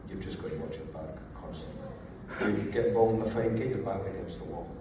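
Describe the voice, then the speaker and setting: A man with an Edinburgh accent at a very fast pace and fairly low pitch, amid noticeable background noise and audible room echo. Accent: Scottish (Edinburgh). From Scotland, raised in Edinburgh. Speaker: ex-prisoner, author. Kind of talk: panel interview.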